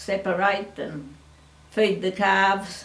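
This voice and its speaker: A woman with an Australian accent speaks at medium pitch with fairly even intonation, recorded with audible room echo and noticeable background noise. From Australia, French Island, Victoria. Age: 80s+. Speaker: family elder. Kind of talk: oral history interview.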